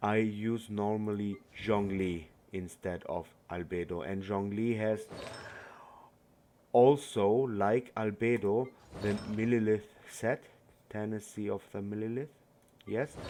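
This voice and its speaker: The speaker, in a non-native accent, talks at a fairly slow pace with fairly even intonation. Long pauses come often. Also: man, fairly low pitch for a man. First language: not English. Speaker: gaming YouTuber. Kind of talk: game tutorial. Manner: halting.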